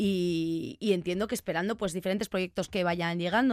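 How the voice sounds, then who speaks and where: A woman speaks in a normal speaking voice at a medium pitch with fairly even intonation. The recording is very clean, with a silent background. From Basque Country, Vitoria-Gasteiz. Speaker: radio host. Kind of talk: radio interview; radio show presenting.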